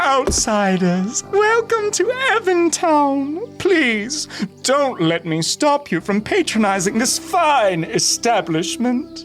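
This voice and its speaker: A put-on character voice at a very slow pace, with clear music in the background. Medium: audio drama. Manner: smug, mock-hospitable.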